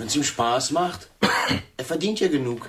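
A man's put-on character voice, fairly high and fairly bright, with a slightly husky edge, lively intonation and a fairly slow pace

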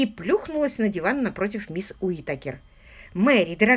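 Lively intonation marks an unforced reading voice.

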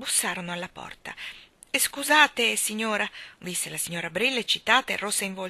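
The recording is of someone reading aloud in a natural voice.

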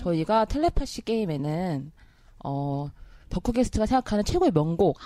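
A woman's fairly low voice with a dark, mellow tone, lively intonation and a moderate pace. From South Korea, Gangwon Province (Taebaek). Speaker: podcast host and producer. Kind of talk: casual chat; reading aloud listener comments.

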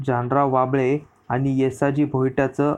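What you hear is a natural reading voice.

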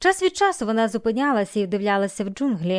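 Here we hear an unforced reading voice.

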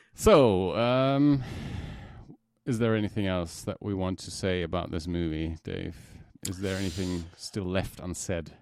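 The man's pitch is very deep and low, with ordinary variation. He talks at a fairly slow pace. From Germany. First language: German. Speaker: podcast co-host. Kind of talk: casual chat. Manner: hesitant, repeats words.

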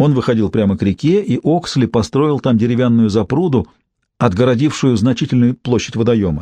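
Over quiet surroundings, the text is read aloud plainly, with ordinary pitch variation.

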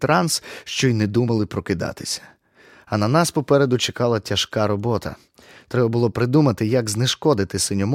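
Ordinary pitch variation over plain reading aloud

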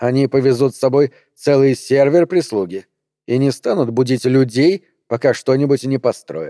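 An unforced reading voice over a quiet background, its intonation fairly even

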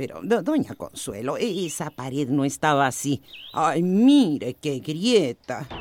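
With a slightly mellow tone, a woman puts on a character voice, low in pitch, with big pitch swings at a slow pace.

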